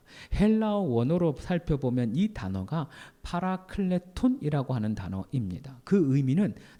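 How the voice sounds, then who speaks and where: A man speaks at a fairly slow pace with a dark, mellow tone. His voice is somewhat breathy and makes very wide pitch swings. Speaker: pastor. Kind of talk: sermon.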